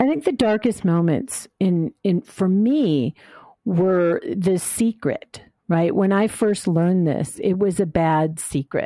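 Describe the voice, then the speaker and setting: A woman's medium-pitched voice in an American accent, with a dark, mellow tone, lively intonation, very even loudness and a very slow pace, in a dry, close, very clean recording with a silent background and no echo. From US Midwest, Chicago suburbs. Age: 60s. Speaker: life coach and memoir author. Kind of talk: interview.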